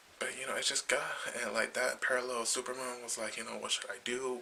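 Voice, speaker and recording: A whispering man at a fairly quick pace amid noticeable background noise. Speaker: comic book vlogger. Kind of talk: casual video review. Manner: halting, many fillers.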